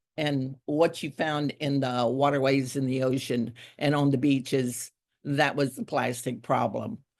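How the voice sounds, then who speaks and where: A woman's very deep, low voice in a Texas Gulf Coast accent, fairly slow and fairly even in intonation. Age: 70s. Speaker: environmental activist. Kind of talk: keynote speech. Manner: casual, halting with fillers.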